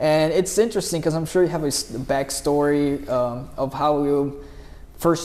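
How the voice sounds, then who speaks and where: Noticeable background noise surrounds a man speaking at a fairly high pitch with ordinary pitch variation. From Brazil. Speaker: mobile detailing business owner, interviewer. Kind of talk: casual interview.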